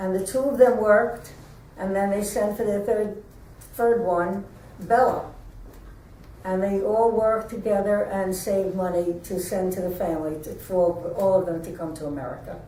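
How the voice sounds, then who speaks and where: Audible room echo around a moderate pace and ordinary pitch variation. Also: woman, medium pitch for a woman. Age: 90s. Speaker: interviewee. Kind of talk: oral history interview. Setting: museum.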